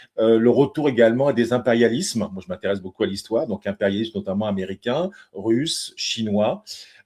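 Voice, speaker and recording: Lively intonation marks a man's dark, mellow tone at medium pitch and a fairly quick pace. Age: 60s. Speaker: retired engineer, engaged citizen. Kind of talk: interview. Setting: live web TV broadcast. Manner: halting, many hesitations.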